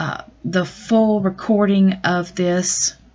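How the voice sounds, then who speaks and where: A woman speaks with a Southern US accent. Her pitch sits fairly low. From US South. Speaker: astrologer and tarot reader. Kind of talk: astrology update monologue. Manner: casual with frequent fillers.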